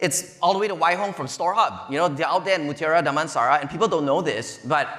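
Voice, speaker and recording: A man with a Malaysian accent speaks in an animated tone, high in pitch with lively intonation. Noticeable background noise and audible room echo surround him. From Malaysia (Petaling Jaya area). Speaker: venture capital investor, conference speaker. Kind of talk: conference keynote talk. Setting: stage with audience.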